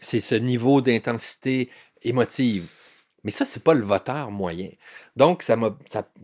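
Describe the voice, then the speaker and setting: A man at a medium pitch and a very slow pace, with lively intonation, in a very clean recording with a silent background. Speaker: newspaper columnist. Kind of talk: interview conversation. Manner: halting, many repetitions and fillers.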